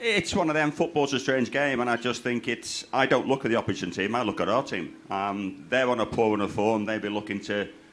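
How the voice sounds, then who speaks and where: A man's unremarkable speaking voice at medium pitch, fairly quick with hardly any pauses and ordinary pitch variation. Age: 60s. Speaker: former footballer, pundit. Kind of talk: live interview. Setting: outdoors fan zone, rain.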